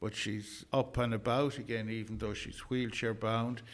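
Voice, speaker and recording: A man with an Irish accent, moderate pace and monotone, flat intonation. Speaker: community volunteer and event organiser. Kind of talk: radio interview.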